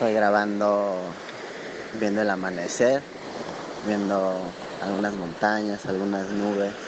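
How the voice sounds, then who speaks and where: A man talks at a fairly slow pace with a fairly low pitch, monotone, flat intonation and long, frequent pauses. The recording has audible room echo and noticeable background noise. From Mexico. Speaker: listener contributor. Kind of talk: voice message. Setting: outdoors.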